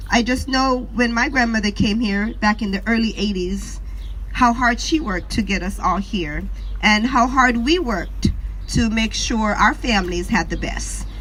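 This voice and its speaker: A woman with a Jamaican accent and a fairly high pitch talks at a fairly slow pace with ordinary pitch variation. Music plays in the background, and there is audible room echo. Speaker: activist mother. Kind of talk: protest speech. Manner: impromptu.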